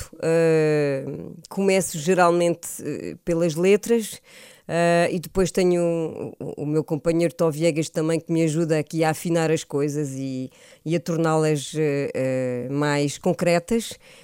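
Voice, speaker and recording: On a very clean recording with a silent background, a woman with a dark, mellow tone and fairly low pitch speaks very slowly with fairly even intonation. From France, moved to Portugal at 13. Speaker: singer. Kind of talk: radio interview. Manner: hesitant, many fillers.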